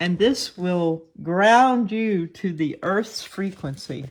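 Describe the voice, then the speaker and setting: A woman with an American accent and ordinary pitch variation. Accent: Southern twang, stronger in the morning. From US South. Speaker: online video host. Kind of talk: casual talk to camera. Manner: halting.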